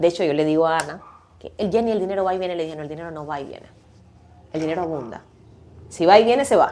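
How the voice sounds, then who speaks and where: Speaking at a very fast pace with an animated tone, the speaker leaves long, frequent pauses. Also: woman, fairly low pitch for a woman, ordinary pitch variation, big swings in loudness. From Cuba. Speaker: podcast guest, communicator. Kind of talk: casual interview chat. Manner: animated, laughs a lot.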